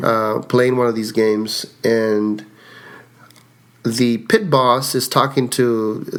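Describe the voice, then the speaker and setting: In a Spanish accent, a man speaks at a very slow pace. His pitch is medium and his intonation monotone and flat. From Mexico. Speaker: card counter. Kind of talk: interview.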